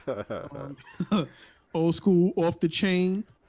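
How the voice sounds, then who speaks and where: The man's tone is dark and mellow, with an American accent. His intonation stays fairly even. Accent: New York, comes out on certain words. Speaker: podcast co-host. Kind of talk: casual chat.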